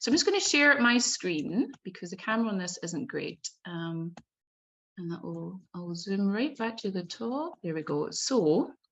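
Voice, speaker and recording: Speaking with a Scottish accent, a woman at a medium pitch moves at a fairly slow pace through very wide pitch swings. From Scotland, Glasgow. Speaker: bookbinder. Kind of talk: presentation talk. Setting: video call.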